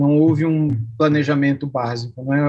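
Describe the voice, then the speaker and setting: This man's voice sits fairly high in pitch and is somewhat breathy, moving at a moderate pace. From Brazil, São Paulo state (Araraquara). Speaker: pastor and seminary professor. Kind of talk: interview conversation.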